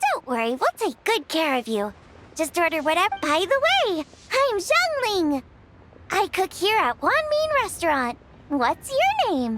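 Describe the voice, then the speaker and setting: A put-on character voice in a bubbly tone, with very wide pitch swings at a moderate pace. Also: woman, extremely high pitch for a woman. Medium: video game. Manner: bubbly, friendly.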